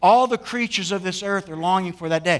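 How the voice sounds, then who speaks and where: A man talks at a very fast pace in a high voice. His pitch varies in an ordinary way. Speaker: pastor. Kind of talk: sermon. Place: church. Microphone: headset.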